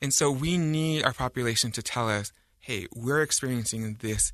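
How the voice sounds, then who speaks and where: With an American accent and an ordinary speaking voice, a man talks at a fairly slow pace with ordinary pitch variation. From Utah County, US. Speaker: communications officer of a nonprofit. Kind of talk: radio interview.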